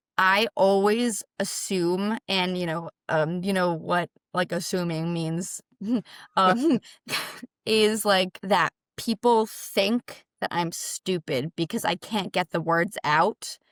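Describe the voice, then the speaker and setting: A woman speaks at a medium pitch, very slowly. Her pitch moves in an ordinary way, and the sound is dry and close with no echo. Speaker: stroke survivor, motivational speaker. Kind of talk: interview answer. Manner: hesitant, word-finding pauses due to aphasia.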